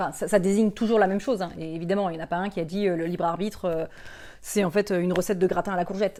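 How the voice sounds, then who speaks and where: Her tone is dark and mellow. The woman talks at a very fast pace on a very clean recording with a silent background. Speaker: philosophy educator, YouTuber. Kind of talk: educational video lesson. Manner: casual, conversational with fillers.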